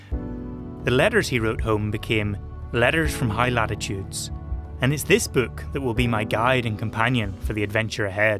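Music plays in the background as a man with a fairly low pitch talks at a moderate pace with lively intonation. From Northern Ireland. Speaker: TV presenter. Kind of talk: documentary presenting.

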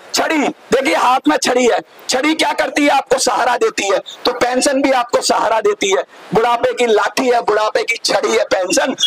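Through noticeable background noise, a man talks at an extremely high pitch with ordinary pitch variation and very even loudness. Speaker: election candidate. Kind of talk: campaign speech. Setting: outdoors. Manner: loud, impassioned. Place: street. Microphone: handheld.

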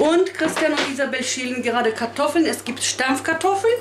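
Noticeable background noise runs through the clip. Over it, a woman talks. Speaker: home cook vlogger. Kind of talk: casual vlog chat. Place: kitchen. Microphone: camera far.

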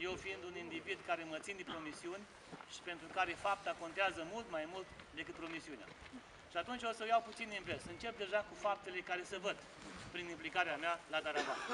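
Against noticeable background noise, a man talks at a high pitch and a fairly quick pace with fairly even intonation. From Romania, Botoșani county (Moldavia); Romania. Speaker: parliamentary candidate; candidate. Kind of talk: campaign speech. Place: street. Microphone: camera far.

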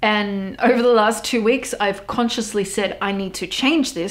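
A woman speaks at a moderate pace with an Australian accent. Her medium-pitched voice has ordinary pitch variation. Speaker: goth model and small business owner. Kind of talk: casual podcast talk. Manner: casual, chatty, swears often. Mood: candid, some swearing. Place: home room.

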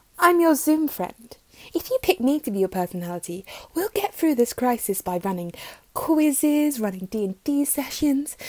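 A woman speaks at a high pitch with very wide pitch swings. The sound is dry with no echo, and the background is quiet. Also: moderate pace. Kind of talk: comic character monologue. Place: home room. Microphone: phone near.

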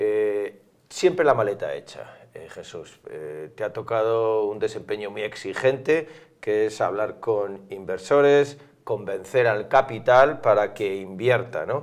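Over a quiet background, a man talks at a very slow pace, his loudness swinging widely. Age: middle-aged. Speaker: interviewer. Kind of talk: interview. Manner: hesitant, many fillers. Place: studio. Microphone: lapel.

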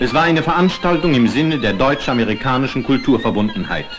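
Over music in the background, a man talks at a very fast pace with a fairly high pitch and lively intonation. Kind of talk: newsreel narration.

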